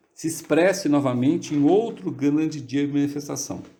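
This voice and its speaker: Heard with audible room echo, a man speaks fairly slowly in a dark, mellow tone. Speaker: study group leader. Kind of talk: lecture. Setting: video call.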